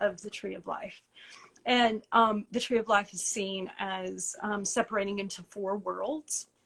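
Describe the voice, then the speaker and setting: A woman with an Appalachian accent at medium pitch and a moderate pace, her intonation fairly even. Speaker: tarot publisher and teacher. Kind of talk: interview on a live stream.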